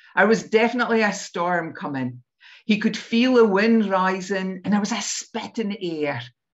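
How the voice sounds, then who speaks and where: With a North East Scottish accent, a woman speaks at a medium pitch and a moderate pace, her intonation lively. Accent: North East Scottish (Doric). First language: Doric. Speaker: storyteller. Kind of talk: storytelling; casual chat.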